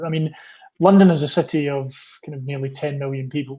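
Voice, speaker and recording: A man with a Scottish accent speaks fairly quickly at a fairly high pitch, with a flat, monotone intonation. His tone is dark and mellow, and somewhat breathy. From Scotland. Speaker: university representative. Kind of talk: interview. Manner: halting.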